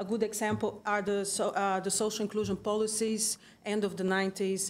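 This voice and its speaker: With a Brazilian accent, a woman talks at a moderate pace in a medium pitch. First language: Portuguese. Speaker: conference presenter, museum researcher. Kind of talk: conference presentation. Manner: hesitant, many fillers.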